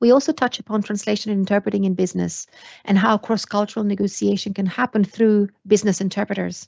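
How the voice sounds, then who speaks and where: A woman's medium-pitched voice with a non-native accent, very fast pace and fairly even intonation. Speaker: university lecturer. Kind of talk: lecture. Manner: hesitant fillers.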